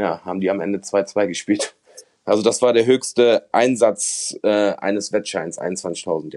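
A man talks in an ordinary speaking voice. His pace is fairly slow and his intonation fairly even. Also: fairly low pitch for a man. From Germany, Mönchengladbach (Lower Rhine). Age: 30s. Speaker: former gambling addict and convicted fraudster. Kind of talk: testimony.

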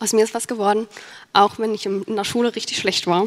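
A fairly high-pitched woman's voice at a very fast pace, dry and close with no echo. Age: 20s. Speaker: YouTuber and student. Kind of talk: conference talk.

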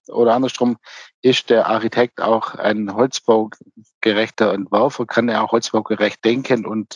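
At a fairly slow pace, a normal speaking voice comes through in a dry, close sound with no echo. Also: man. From Swabia, near Ulm (southern Germany). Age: 50s. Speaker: timber construction company owner. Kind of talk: interview. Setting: remote connection.

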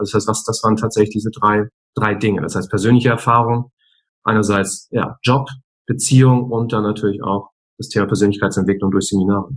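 Very fast and monotone, a man talks in a fairly low pitch with flat intonation. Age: 40s. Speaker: speaker and coach. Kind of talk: interview. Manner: hesitant fillers.

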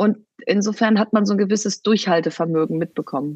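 A woman speaks at a moderate pace in an unremarkable speaking voice, medium in pitch, with a dry, close sound and no echo. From Germany, Bielefeld (East Westphalia). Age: 40s. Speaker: entrepreneur and author. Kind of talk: interview.

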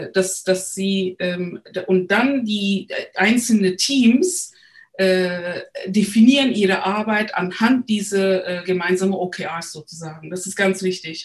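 A woman with a Turkish accent speaks at a very slow pace. Her voice is somewhat breathy, with ordinary pitch variation. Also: medium pitch for a woman, big swings in loudness. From Turkey, Istanbul. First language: Turkish (speaking German). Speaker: agile coach. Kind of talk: interview. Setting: remote recording. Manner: hesitant, many fillers.

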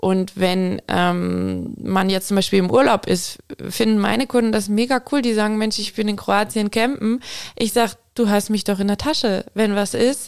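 At a fairly slow pace, a woman with a plain, everyday voice speaks at a medium pitch with ordinary pitch variation. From Aalen area, Baden-Württemberg. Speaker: veterinarian. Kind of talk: interview.

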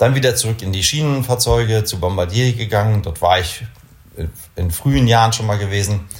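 Somewhat breathy, a man talks at a fairly quick pace with a fairly low pitch and ordinary pitch variation. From northern Germany, Kiel (Baltic coast). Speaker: company executive in the space industry. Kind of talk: interview. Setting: office.

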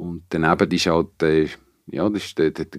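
With a dry, close sound, no echo and a quiet background, a man with a very deep, low voice speaks at a fairly quick pace using lively intonation. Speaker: venue operator and sound technician. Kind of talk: casual interview. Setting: studio.

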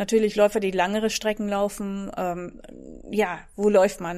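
The woman speaks at a fairly slow pace with a medium pitch. Her pitch varies in an ordinary way. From Netherlands. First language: Dutch (speaking German). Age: 40s. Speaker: fitness trainer. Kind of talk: casual interview.

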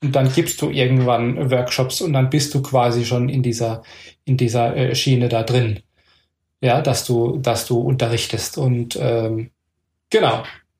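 The man's voice is somewhat breathy and sits at medium pitch. He talks at a fairly slow pace with fairly even intonation. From Palatinate, Germany. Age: 40s. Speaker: acro yoga teacher. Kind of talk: casual chat. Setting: home.

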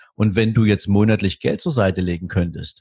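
In a dry, close sound with no echo, a man talks at a fairly quick pace in a somewhat breathy, fairly low voice. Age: 40s. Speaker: wealth manager. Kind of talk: podcast interview.

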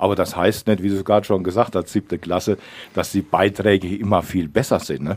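Very deep and low, a man's voice moves at a fairly quick pace with fairly even intonation. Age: 60s. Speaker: local politician, parliamentary candidate. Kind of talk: radio interview.

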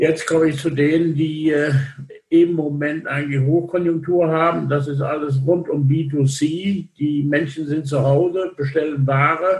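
A man speaks at a fairly slow pace in a fairly high pitch. His intonation is monotone and flat. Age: 60s. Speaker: logistics industry association chairman. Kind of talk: interview. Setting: remote call.

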